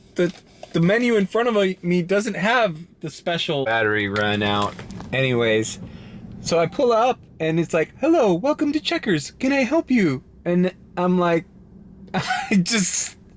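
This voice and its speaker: The speech moves at a fairly slow pace with very wide pitch swings over noticeable background noise. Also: man, high pitch for a man. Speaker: vlogger. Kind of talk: casual vlog monologue. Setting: in a car at a drive-thru parking lot. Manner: halting, many restarts.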